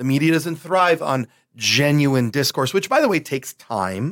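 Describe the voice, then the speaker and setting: In a very clean recording with a silent background and dry, close sound with no echo, a man uses an ordinary speaking voice, fairly high in pitch, with ordinary pitch variation at a moderate pace. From Buffalo, New York. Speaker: bishop. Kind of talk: casual chat.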